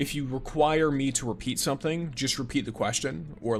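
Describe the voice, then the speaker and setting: A man's medium-pitched voice at a moderate pace, with ordinary pitch variation and music in the background. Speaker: gaming streamer. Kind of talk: live stream chat with commentary. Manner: jumps mid-sentence.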